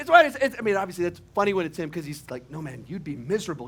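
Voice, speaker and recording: A man is speaking. His voice is high-pitched. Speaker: preacher. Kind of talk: sermon with humorous asides. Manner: conversational, humorous.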